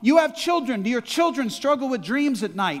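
A man speaks in an extremely high pitch with lively intonation. The background is quiet. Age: 60s. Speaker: pastor. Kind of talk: sermon. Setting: church. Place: church. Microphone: headset.

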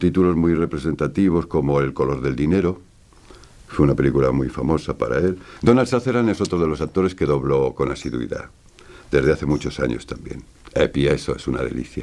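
With a very deep, low pitch, a man speaks at a fairly quick pace and with lively intonation. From Spain. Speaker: voice actor. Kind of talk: interview answer. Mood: warm, nostalgic. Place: studio.

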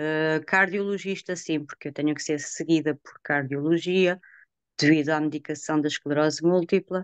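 A woman speaks at a moderate pace in a very deep, low voice, with fairly even intonation, a dry sound with no echo and a quiet background. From born outside Portugal, raised in Trás-os-Montes. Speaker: patient giving testimony. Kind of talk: testimony. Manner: halting, many hesitations. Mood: earnest, emotional at times. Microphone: video call.

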